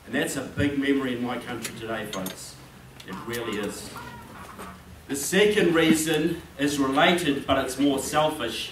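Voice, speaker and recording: Amid noticeable background noise and audible room echo, a man with a New Zealand accent talks at a fairly slow pace with ordinary pitch variation. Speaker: political author and speaker. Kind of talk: speech. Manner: animated.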